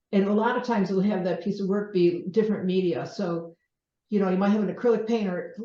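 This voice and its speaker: A woman with a dark, mellow tone and medium pitch speaks very fast with fairly even intonation, and room echo is audible. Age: 60s. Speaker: painter. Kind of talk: casual talk to an audience. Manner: halting.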